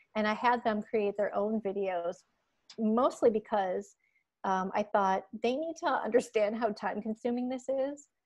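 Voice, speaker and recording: Against a quiet background, a woman with an American accent speaks at a fairly slow pace and a fairly high pitch. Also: ordinary pitch variation. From Michigan. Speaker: music education professor. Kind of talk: casual interview. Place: home room. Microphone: earbuds.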